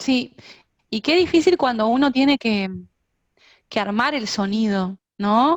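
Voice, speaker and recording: In a Uruguayan accent, the speaker goes at a fairly slow pace with long, frequent pauses. The intonation is lively, and the sound is dry and close with no echo. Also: woman, fairly high pitch for a woman. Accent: Uruguayan Spanish (rioplatense). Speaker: music teacher and singer. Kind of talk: online lecture. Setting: video call.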